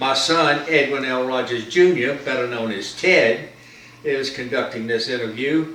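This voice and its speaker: Noticeable background noise and audible room echo surround a man who talks with an American accent. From North Carolina, US South. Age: 80s+. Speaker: war veteran. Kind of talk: interview. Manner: halting.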